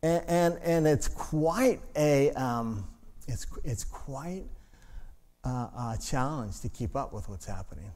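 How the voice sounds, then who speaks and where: A man speaks with lively intonation amid audible room echo. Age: 60s. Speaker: pastor. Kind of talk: sermon. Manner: halting.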